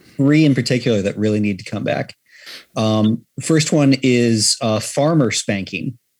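Speaking at a fairly slow pace, a man with a normal speaking voice keeps a medium pitch and ordinary pitch variation. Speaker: podcast guest. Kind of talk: casual chat. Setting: video call.

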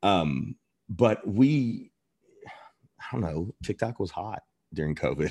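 A man with an American accent speaks at a very slow pace, his fairly low, dark, mellow voice making very wide pitch swings. Long, frequent pauses break up the dry, close sound, which has no echo. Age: 40s. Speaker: chef and restaurant owner. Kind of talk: interview.

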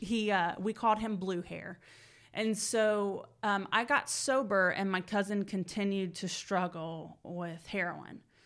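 A woman with an American accent talks in a normal speaking voice at a medium pitch and a fairly slow pace. Her intonation is fairly even, on a very clean recording with a silent background. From Georgia, US South (Marietta). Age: 30s. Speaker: recovering addict sharing her story. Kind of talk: personal testimony interview.

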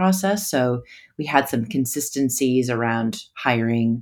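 A woman with an American accent speaks at a very deep, low pitch, her intonation lively. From United States. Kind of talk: casual interview. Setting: video call.

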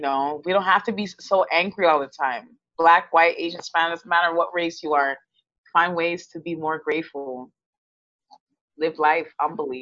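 This voice has an American accent and a bright, sharp tone, with big swings in loudness. The pace is moderate and the pitch varies in an ordinary way. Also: woman, fairly low pitch for a woman. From Texas. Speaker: student. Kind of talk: interview.

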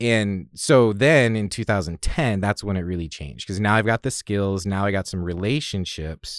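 A man's fairly low voice with an American accent, moderate in pace with hardly any pauses and ordinary pitch variation, in a very clean recording with a silent background. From Oregon, US Pacific Northwest (Salem). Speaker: real estate appraiser and investor. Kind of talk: interview. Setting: studio.

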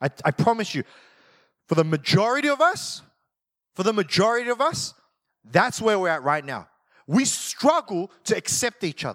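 Animated in tone, a man with a high pitch and very wide pitch swings speaks at a moderate pace, broken by long, frequent pauses. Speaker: pastor. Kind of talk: sermon. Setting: church. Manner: loud at times, may yell.

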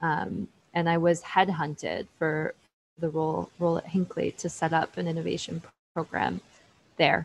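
A woman with a Canadian accent, fairly low in pitch with vocal fry, fairly even intonation, big swings in loudness and a moderate pace. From Canada, Ottawa. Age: 30s. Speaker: innovation manager in the nuclear construction industry. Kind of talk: interview.

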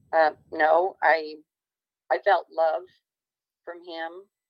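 Speaking very slowly, a woman with a fairly low pitch talks in an American accent. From Illinois. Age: 50s. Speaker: near-death experiencer. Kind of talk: testimony.

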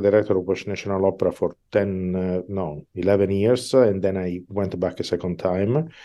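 A man with a fairly low pitch speaks at a moderate pace. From Italy, Milan. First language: Italian. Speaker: opera conductor. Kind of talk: interview.

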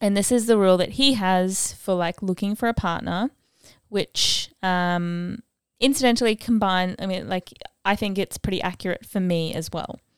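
A woman in a normal speaking voice at medium pitch, moderate pace, ordinary pitch variation, dry, close sound with no echo and a very clean recording with a silent background. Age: 20s. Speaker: podcast host. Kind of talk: solo monologue. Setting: outdoors sounds, birds audible. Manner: casual, filler-heavy.

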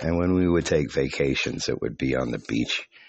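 At a moderate pace, a man with a very deep, low pitch speaks with ordinary pitch variation against noticeable background noise. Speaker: podcast host. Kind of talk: casual monologue. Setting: outdoors.

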